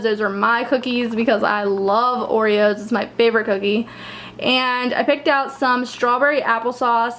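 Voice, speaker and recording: There is noticeable background noise as a woman speaks in a high voice. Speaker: lifestyle vlogger. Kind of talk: casual vlog haul. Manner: fast.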